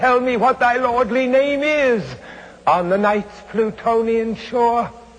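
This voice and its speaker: A fairly slow-speaking man can be heard with noticeable background noise around him. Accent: American. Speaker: actor. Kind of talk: poetry reading. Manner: dark, melancholic, hypnotic.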